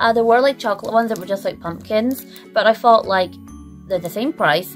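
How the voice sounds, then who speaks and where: A woman speaks with ordinary pitch variation over faint background music. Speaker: vlogger. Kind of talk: casual haul vlog chat. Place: home room. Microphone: phone near.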